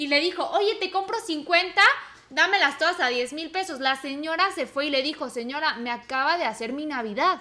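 A woman speaks in a raised, projected voice at a moderate pace. Her high-pitched tone is bright and sharp. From Mexico. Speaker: podcast co-host. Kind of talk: casual chat.

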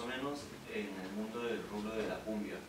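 Over noticeable background noise and audible room echo, a man speaks at a moderate pace in a medium pitch with ordinary pitch variation. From Peru, Lima, Los Olivos. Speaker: percussionist. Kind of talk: interview. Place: home room. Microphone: camera far.

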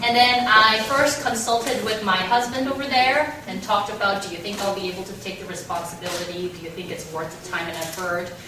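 A woman talks at a fairly quick pace with hardly any pauses, lively intonation and big swings in loudness. Noticeable background noise and audible room echo fill the recording. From South Korea. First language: Korean. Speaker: radio host and scriptwriter. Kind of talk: public talk. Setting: stage with audience. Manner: friendly. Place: meeting room. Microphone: camera far.

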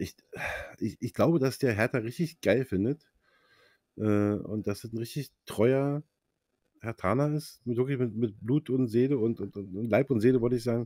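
A man's medium-pitched, dark and mellow voice at a moderate pace, ordinary pitch variation, long and frequent pauses, dry sound with no echo, quiet background. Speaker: football fan insider; fan podcast host. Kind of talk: casual chat. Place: home room. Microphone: clear new mic; studio mic.

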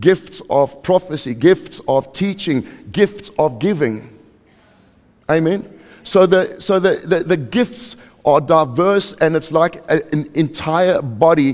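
A very slow pace over a quiet background. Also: man. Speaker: preacher. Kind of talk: sermon. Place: church.

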